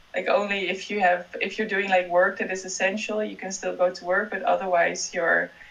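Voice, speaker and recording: Speaking with a Dutch accent, a woman keeps a medium pitch and fairly even intonation. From Netherlands. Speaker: PhD student. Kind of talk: casual interview.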